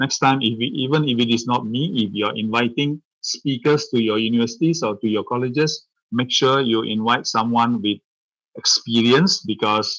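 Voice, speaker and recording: In a Tamil accent, a man talks at a medium pitch. He keeps a moderate pace with ordinary pitch variation. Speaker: professor. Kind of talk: lecture. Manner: halting, many fillers.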